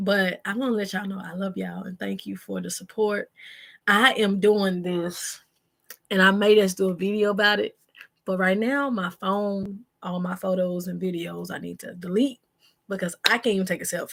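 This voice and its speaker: With a normal speaking voice, a woman talks at a moderate pace and medium pitch, her intonation fairly even but with big swings in loudness. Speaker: vlogger, single mom. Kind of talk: casual vlog chat to camera. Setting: bedroom at home, live video.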